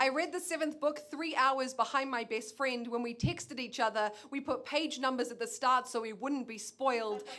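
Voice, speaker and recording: A woman talks in a raised, projected voice at a high pitch, with ordinary pitch variation and hardly any pauses. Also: moderate pace. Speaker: spoken word poet. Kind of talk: spoken word poetry performance.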